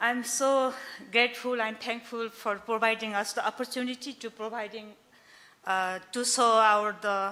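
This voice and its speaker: Moderately paced, a woman with a Nepali accent speaks in a fairly high pitch with a bright, sharp tone and fairly even intonation. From Nepal, Gorkha. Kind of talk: business pitch. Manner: halting.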